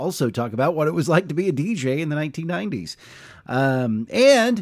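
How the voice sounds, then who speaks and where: An American-accented man speaks with very wide pitch swings. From Oklahoma. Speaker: podcast host and journalist. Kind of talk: casual interview conversation. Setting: coffee shop.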